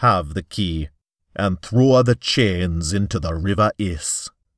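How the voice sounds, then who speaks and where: A man in a put-on character voice, fairly slow in pace. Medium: read story. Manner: formal, stern, declarative.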